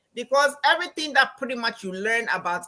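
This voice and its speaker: Using very wide pitch swings, a woman with a Ghanaian accent speaks in a bright, sharp tone. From Ghana, Accra. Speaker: financial coach and anthropology professor. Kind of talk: interview. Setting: live stream. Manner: animated.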